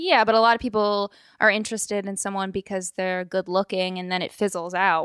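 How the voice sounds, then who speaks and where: A woman talks at a fairly quick pace in a normal speaking voice, medium in pitch with fairly even intonation. The sound is dry and close, with no echo. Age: 20s. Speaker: host's wife, background screening worker. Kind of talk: casual conversation.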